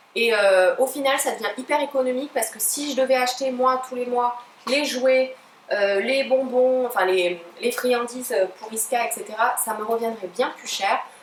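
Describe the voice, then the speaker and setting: A high-pitched woman's voice with ordinary pitch variation and big swings in loudness, against noticeable background noise. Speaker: pet YouTuber. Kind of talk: unboxing review. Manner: fast; hesitant, many fillers.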